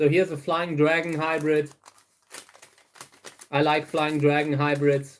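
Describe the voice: A man with a German accent talks slowly in a monotone, flat intonation. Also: fairly high pitch for a man.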